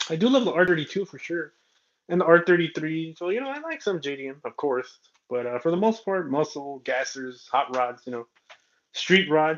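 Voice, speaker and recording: A man with an American accent talks at a fairly quick pace. His fairly high voice carries lively intonation. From southern California. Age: 30s. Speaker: toy car collector streamer. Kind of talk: casual livestream chat. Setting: livestream. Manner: casual, rambling with fillers.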